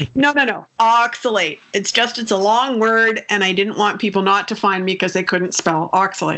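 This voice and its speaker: A woman with a plain, everyday voice at medium pitch speaks at a moderate pace with ordinary pitch variation and hardly any pauses. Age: 60s. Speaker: nutritionist. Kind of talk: interview.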